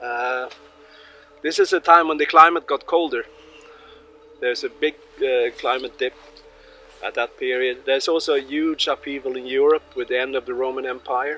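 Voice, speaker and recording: With a Swedish accent, a man speaks at a moderate pace in a fairly high voice with fairly even intonation and long, frequent pauses, the sound dry and close with no echo over noticeable background noise. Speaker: tour guide with history degree. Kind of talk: guided tour explanation. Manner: halting.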